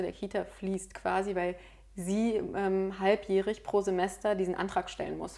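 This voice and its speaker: A woman's voice, medium in pitch with a dark, mellow tone, stays flat and monotone. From Berlin, Germany. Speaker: lawyer and mediator. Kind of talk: casual interview chat.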